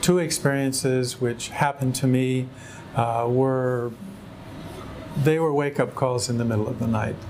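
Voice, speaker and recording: A man of medium pitch talks at a moderate pace with monotone, flat intonation. Noticeable background noise is present. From US West Coast, San Diego, California. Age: 60s. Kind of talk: personal testimony. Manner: halting, many fillers.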